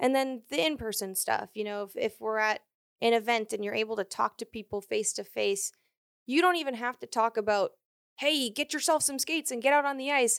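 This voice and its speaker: A woman's normal speaking voice with an American accent, fairly high and at a fairly quick pace with ordinary pitch variation, in a dry, close sound with no echo on a very clean recording with a silent background. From Maine, US. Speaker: hockey reporter. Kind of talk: casual interview. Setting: studio. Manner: laughs often.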